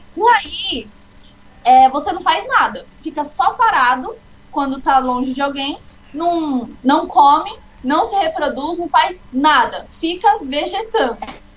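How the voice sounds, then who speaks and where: Noticeable background noise sits behind a woman speaking at a very slow pace. Her voice is high-pitched and swings very widely in pitch. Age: 20s. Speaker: biology student and Pathfinder instructor. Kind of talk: informal lesson in a live chat. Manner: casual, explanatory.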